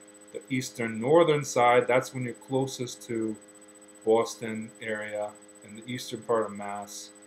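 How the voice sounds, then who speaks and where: Over noticeable background noise, a man with a Connecticut accent talks at medium pitch and a fairly slow pace, his loudness swinging widely. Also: fairly even intonation. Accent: Connecticut American. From north central Connecticut, USA. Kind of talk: accent archive recording, casual talk to camera.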